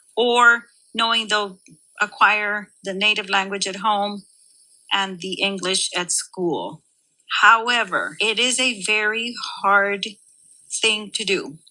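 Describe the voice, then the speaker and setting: Very slow and marked by long, frequent pauses, a woman speaks in a Spanish accent at a fairly high pitch. Her tone is bright and sharp, and her intonation is fairly even. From Rio Grande Valley, Texas. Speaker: high school Spanish teacher. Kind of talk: casual interview.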